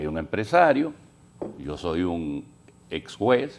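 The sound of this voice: At a slow pace, a man speaks with a low pitch and big pitch swings.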